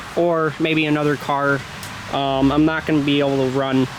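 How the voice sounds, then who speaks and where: A man with an American accent speaks at a fairly high pitch in a flat monotone, with noticeable background noise. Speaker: demolition derby vlogger. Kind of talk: casual vlog monologue. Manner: rambling with many fillers.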